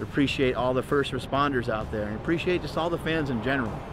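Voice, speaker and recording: A man speaks at a fairly quick pace, with a dry sound, no echo and noticeable background noise. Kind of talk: casual vlog chat. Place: street. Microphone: phone near.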